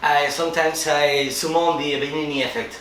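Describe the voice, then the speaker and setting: A man with a Spanish accent speaks at a fairly high pitch and a fairly quick pace. Noticeable background noise and audible room echo are present. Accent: Spanish accent in English, non-native. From Spain. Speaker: filmmaker. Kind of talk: interview. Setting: film festival. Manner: halting, searching for words.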